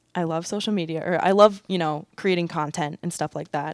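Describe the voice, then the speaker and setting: Fairly quick and with fairly even intonation, a woman with a plain, everyday voice, a fairly low pitch and an American accent speaks in a very clean recording with a silent background and a dry, close sound with no echo. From Minnesota. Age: 20s. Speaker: college athlete and pre-med student. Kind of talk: interview.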